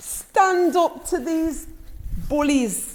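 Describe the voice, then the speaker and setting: This is a woman speaking. She talks with an English accent. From England. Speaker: vlogger. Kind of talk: personal vlog storytelling; motivational talk. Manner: emphatic.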